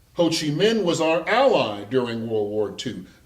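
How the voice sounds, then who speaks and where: His pitch swings very widely. This man talks at a fairly slow pace. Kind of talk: public speech on the military-industrial complex.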